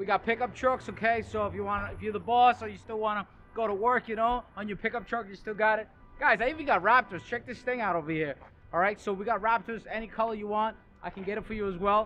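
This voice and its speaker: A man's raised, projected voice at a very fast pace, fairly even intonation, faint music in the background. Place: street.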